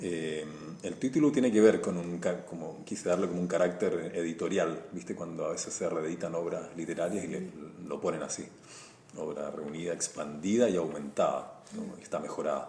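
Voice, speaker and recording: Audible room echo surrounds this recording. A man speaks at a moderate pace. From Chile. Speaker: visual artist and comic illustrator. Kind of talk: interview.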